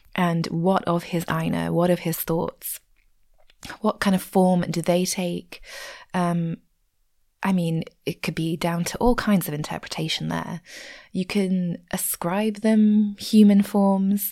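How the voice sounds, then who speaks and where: A woman with an English accent speaks at a very slow pace, her intonation fairly even and broken by long, frequent pauses. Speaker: podcast host. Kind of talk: unscripted casual ramble about a book, with some reading aloud. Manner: rambling, casual.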